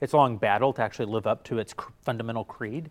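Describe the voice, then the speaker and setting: Here is a plain, everyday voice: a man of medium pitch with an American accent and fairly even intonation. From United States. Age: 40s. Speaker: media company executive. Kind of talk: interview. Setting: studio.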